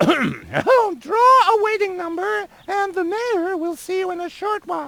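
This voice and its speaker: In a put-on character voice, a man talks at an extremely high pitch and a fairly slow pace. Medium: video game. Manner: bossy, officious.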